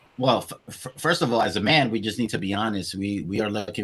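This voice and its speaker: A man with a slight Spanish accent speaks with ordinary pitch variation. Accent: slight Spanish-inflected English. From Queens, New York, raised from age seven; born Venezuela, childhood Colombia. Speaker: podcast host. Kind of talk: interview. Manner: halting, many repetitions and fillers.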